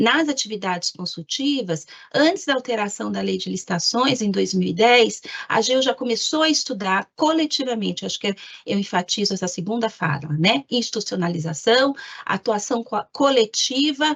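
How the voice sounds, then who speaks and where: A woman with an unremarkable speaking voice talks at a moderate pace, fairly high in pitch with lively intonation. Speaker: government lawyer. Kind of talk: presentation in an online meeting.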